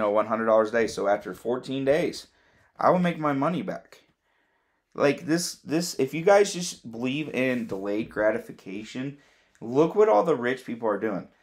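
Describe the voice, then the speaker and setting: A man with a medium pitch has an unremarkable speaking voice and lively intonation at a moderate pace. The recording is very clean, with a silent background. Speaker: crypto YouTuber. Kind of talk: casual explainer video.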